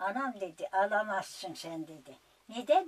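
A woman is speaking. Her pace is very slow. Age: 80s+. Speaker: elderly villager telling her life story. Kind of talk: interview answer, life story. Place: home room.

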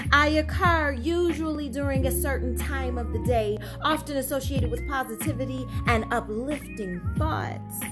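Over music in the background, a woman talks with hardly any pauses. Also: moderate pace. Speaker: spoken word poet. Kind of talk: spoken word poetry reading. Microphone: phone near.

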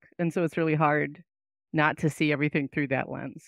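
A woman's voice, dry with no echo, against a quiet background. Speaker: English professor. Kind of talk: interview discussion. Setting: video call with headset, at home. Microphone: headset.

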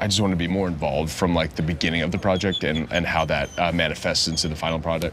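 Light background noise sits behind a man talking at a very fast pace. His pitch is very deep and low. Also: fairly even intonation. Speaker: interview guest. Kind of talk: interview answer. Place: cafe.

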